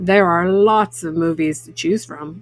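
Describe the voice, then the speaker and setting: A woman does a put-on character voice. It sits at a fairly low pitch and moves at a fairly slow pace. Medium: read story. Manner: relaxed, reassuring.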